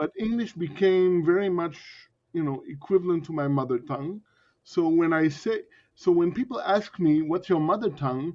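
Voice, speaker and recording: Using ordinary pitch variation, a man with an American accent speaks at a moderate pace in a high pitch. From US Northeast, Connecticut. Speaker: polyglot, YouTuber. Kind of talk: interview. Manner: halting, many restarts.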